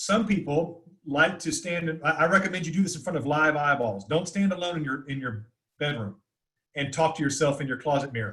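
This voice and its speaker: A loud man with an American accent talks at a fairly quick pace and a fairly high pitch. His tone is bright and sharp, with ordinary pitch variation. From US South, north Florida. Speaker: communication teacher. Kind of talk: webinar Q&A. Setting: video call. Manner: fast.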